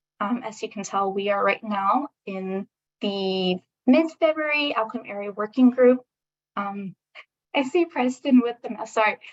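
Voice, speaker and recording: A woman with an unremarkable speaking voice talks at a fairly slow pace in a fairly high pitch. Her intonation is lively, her loudness swings widely, and the sound is dry and close with no echo. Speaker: state government meeting facilitator. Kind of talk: online public meeting presentation. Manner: frequent um fillers.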